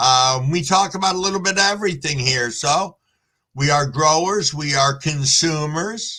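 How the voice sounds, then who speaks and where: A man with a fairly high pitch speaks at a moderate pace in a relaxed, bright, sharp tone with ordinary pitch variation. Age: 60s. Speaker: live streamer, cannabis grower. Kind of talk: casual live stream chat reading comments. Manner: relaxed, conversational.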